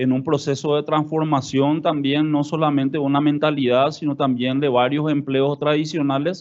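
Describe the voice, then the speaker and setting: Using an unremarkable speaking voice, a man with a fairly high pitch speaks at a moderate pace with fairly even intonation. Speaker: government official. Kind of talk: conference talk.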